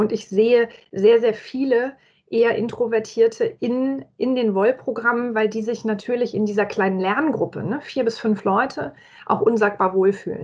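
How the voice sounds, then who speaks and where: With ordinary pitch variation, a woman speaks at a moderate pace in an ordinary speaking voice and a fairly high pitch. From Franconia, Germany (Nuremberg). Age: 40s. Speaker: corporate employee and agile learning method advocate. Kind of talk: casual interview.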